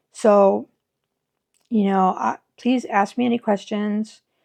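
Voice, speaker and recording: A woman speaks at a medium pitch with ordinary pitch variation against a quiet background. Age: 60s. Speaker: YouTuber sharing surgery experience. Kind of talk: personal vlog testimony. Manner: casual, halting with fillers.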